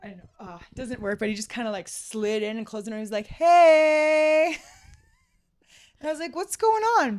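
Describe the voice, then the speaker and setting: Her fairly high voice has an animated tone, very wide pitch swings and big swings in loudness. The woman keeps a moderate pace. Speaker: podcast guest. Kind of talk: casual chat.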